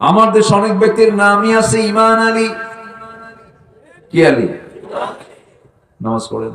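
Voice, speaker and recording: With a passionate tone, a man speaks at a high pitch using fairly even intonation. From Bangladesh, Dhaka. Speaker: Islamic preacher giving a waz sermon. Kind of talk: public religious sermon. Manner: passionate, rhetorical, audience-engaging.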